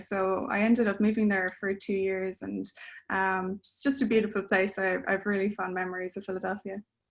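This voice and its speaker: A woman with an Irish accent, medium in pitch, at a fairly quick pace against a quiet background. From Ireland. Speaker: composer. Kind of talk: interview. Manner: hesitant, many fillers.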